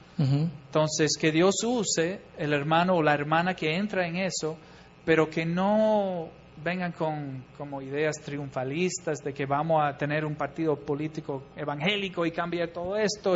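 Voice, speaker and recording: Fairly slow, fairly high-pitched speech from a man with an English accent. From US Midwest, Chicago. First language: English (speaking Spanish). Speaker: missionary. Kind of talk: church talk.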